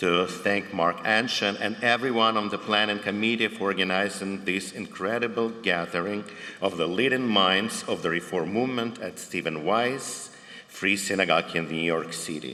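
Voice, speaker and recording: A man's fairly low voice with ordinary pitch variation at a moderate pace, with audible room echo and noticeable background noise. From Ukraine, Dnipro (former Soviet Union). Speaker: cantor, panel moderator. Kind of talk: prepared opening remarks at a conference.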